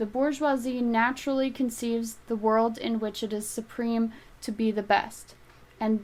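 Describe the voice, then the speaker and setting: A soft-spoken voice with flat, monotone intonation. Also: woman. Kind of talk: audiobook reading.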